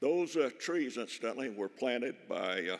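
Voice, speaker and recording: The background stays quiet. A man talks at a moderate pace. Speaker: speaker. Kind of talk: speech. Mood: warm, anecdotal tribute. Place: hall. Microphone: podium.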